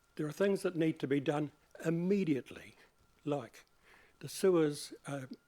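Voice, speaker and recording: A man with a New Zealand accent has a fairly high pitch and a dark, mellow tone. He speaks at a moderate pace with ordinary pitch variation and long, frequent pauses. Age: 70s. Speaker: community hall volunteer. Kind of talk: public submission to council hearing. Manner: halting.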